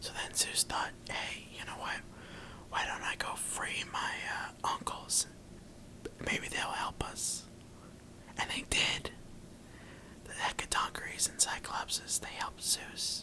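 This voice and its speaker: Whispering in a soothing tone at a very slow pace, the speaker leaves long, frequent pauses over noticeable background noise. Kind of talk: ASMR boyfriend-roleplay bedtime reading of Greek mythology, quiet and intimate. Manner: quiet, whispering, soothing.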